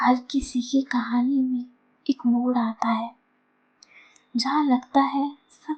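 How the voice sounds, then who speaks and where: A soft-spoken woman talks in a calm tone at a high pitch. Her intonation stays flat and monotone. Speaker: storyteller. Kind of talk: soothing story narration. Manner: soft-spoken, calm.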